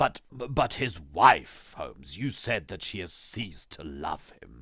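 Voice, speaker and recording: A man uses a put-on character voice at a medium pitch, with very wide pitch swings and big swings in loudness. His pace is fairly slow. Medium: read story. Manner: polite, modest, questioning.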